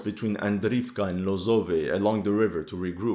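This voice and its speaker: Recorded very cleanly against a silent background, a man with a non-native accent talks at a moderate pace. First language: not English. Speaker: military history YouTuber. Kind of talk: war situation commentary.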